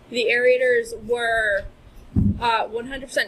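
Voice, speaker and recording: Noticeable background noise runs through the clip. Under it, a woman talks at a moderate pace. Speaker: lake club trustee. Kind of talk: presentation. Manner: soft-spoken; projecting voice.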